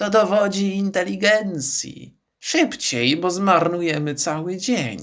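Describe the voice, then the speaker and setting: A man puts on a growling character voice, high in pitch. He goes at a fairly slow pace with hardly any pauses. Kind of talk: impatient, commanding.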